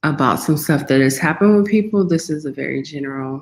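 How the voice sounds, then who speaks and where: With an American accent, a woman speaks in a very deep, low pitch with ordinary pitch variation. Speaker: wellness content creator. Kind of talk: livestream talk to viewers. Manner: slow, low-energy.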